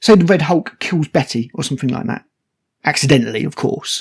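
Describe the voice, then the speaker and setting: A man speaks with a British accent at fairly high pitch. His fairly quick delivery sounds dry and close with no echo. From Britain. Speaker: film reviewer. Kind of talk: unscripted video review. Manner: animated.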